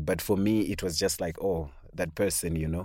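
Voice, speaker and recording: On a very clean recording with a silent background, a man with a very deep, low pitch speaks with ordinary pitch variation. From Zimbabwe. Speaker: LGBT rights advocate. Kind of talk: interview testimony. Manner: halting.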